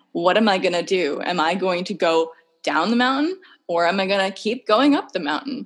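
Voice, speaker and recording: A woman talks with an ordinary speaking voice at medium pitch. Her pace is moderate and her intonation lively. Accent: American. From US Northeast, Massachusetts. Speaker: international affairs professional. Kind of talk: casual interview chat. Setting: remote call across time zones.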